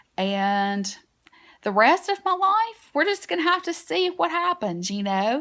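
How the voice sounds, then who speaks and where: A woman is speaking. She has a strong Southern US accent. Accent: strong Southern US twang. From US South. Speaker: beauty vlogger. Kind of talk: casual vlog talk to camera. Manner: chatty, with many fillers.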